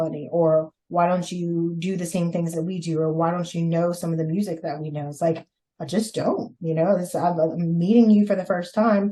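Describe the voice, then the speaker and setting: In a Louisiana accent, a woman speaks at a moderate pace with a fairly low pitch, a dark, mellow tone, a somewhat breathy quality and fairly even intonation. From Louisiana and Mississippi, US South. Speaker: podcast guest, host's sister. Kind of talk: casual interview.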